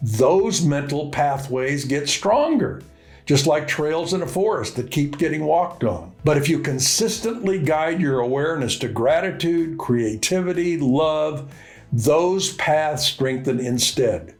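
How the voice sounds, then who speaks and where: Music plays in the background as a man talks at a fairly slow pace. His pitch is fairly high, with ordinary variation and very even loudness. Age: 80s+. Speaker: business mentor. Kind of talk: casual talk to camera.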